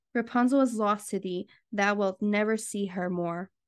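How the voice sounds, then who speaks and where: A woman speaks in a plain, everyday voice at a medium pitch. Her pace is fairly slow, and the background is quiet. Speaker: podcast host. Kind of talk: bedtime story reading.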